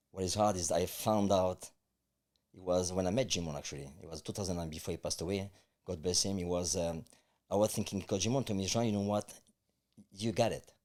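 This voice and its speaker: Very deep, low-pitched man with a strong French accent, very fast pace broken by long, frequent pauses, fairly even intonation and big swings in loudness, in a very clean recording with a silent background. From France. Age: 50s. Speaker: life coach. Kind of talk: interview.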